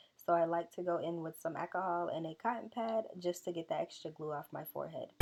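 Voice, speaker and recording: Someone with an American accent talks at a very fast pace with fairly even intonation. Music plays in the background. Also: woman, fairly low pitch for a woman. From Southern US. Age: 20s. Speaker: beauty vlogger. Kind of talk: hair tutorial talk to camera. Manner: casual, friendly.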